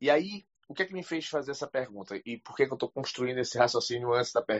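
A man with a northeastern Brazilian accent talks at a medium pitch. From Brazil, Recife. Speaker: audience member asking question. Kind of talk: casual chat. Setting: online audio room.

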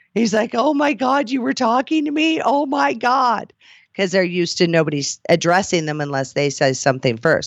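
Over a quiet background, the talking runs at a fairly quick pace. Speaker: podcast host and cam model. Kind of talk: casual banter podcast chat. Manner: animated, playful.

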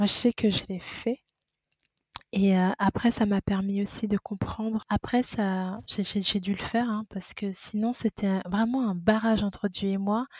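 The recording is dry and close, with no echo. A woman speaks at a fairly slow pace in a somewhat breathy, medium-pitched voice with flat, monotone intonation. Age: 30s. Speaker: midwife. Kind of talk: testimony.

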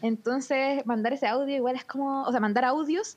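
A woman speaking at a moderate pace. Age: 20s. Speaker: podcast co-host. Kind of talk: casual chat.

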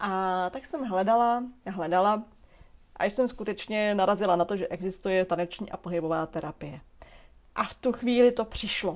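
Speaking at a moderate pace and medium pitch, a woman uses ordinary pitch variation and leaves long, frequent pauses. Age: 20s. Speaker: movement coach and dance therapist. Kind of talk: solo podcast monologue.

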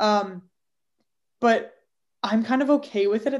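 Against a quiet background, a woman speaks with a Canadian accent. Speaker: podcast co-host. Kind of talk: casual chat.

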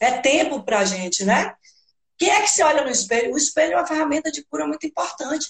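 A woman speaks with very wide pitch swings. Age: 50s. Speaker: belly dance teacher and body therapist. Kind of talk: casual chat. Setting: live stream.

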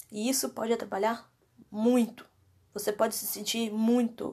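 Fairly slow, somewhat breathy speech from a woman with a fairly high pitch and long, frequent pauses. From Minas Gerais, Brazil (Contagem). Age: 20s. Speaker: podcast host, university student with panic disorder. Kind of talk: personal monologue, testimony. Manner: casual, hesitant with fillers.

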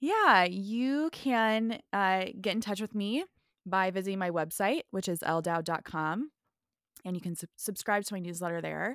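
On a very clean recording with a silent background, a woman speaks with an American accent in an unremarkable speaking voice. Her pitch is medium, her pitch variation ordinary and her pace moderate. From US Midwest. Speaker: pastor and author. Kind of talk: casual chat.

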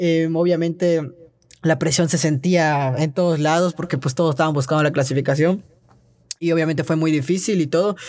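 On a very clean recording with a silent background, a man speaks in a fairly high pitch with fairly even intonation. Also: moderate pace. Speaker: trampoline gymnast. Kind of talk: casual interview. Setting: recording studio. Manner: hesitant, many fillers.

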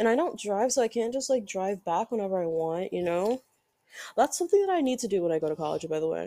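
A woman's medium-pitched voice with a dark, mellow tone, lively intonation, a very fast pace, and a dry, close sound with no echo. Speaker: student podcaster. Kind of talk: casual solo monologue. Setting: home bedroom, sitting on floor. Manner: rambling with many fillers.

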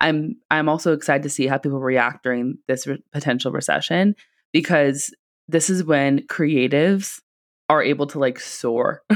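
A woman speaks at a moderate pace in a very deep, low voice with ordinary pitch variation. The recording is very clean, with a silent background. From California, Silicon Valley. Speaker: marketing business owner, podcast co-host. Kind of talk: casual chat.

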